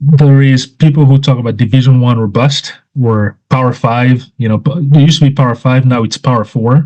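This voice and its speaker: At a fairly quick pace, a man talks with a dark, mellow tone at a medium pitch. His voice is somewhat breathy, with fairly even intonation. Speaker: youth soccer advisor presenting a guide. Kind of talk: presentation. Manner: fast; hesitant with fillers.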